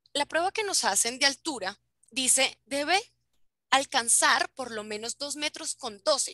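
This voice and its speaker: A raised, projected voice with a bright, sharp tone moves at a fairly slow pace with lively intonation. The sound is dry and close, with no echo. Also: woman, high pitch for a woman. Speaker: flight attendant. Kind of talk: educational talk over video call.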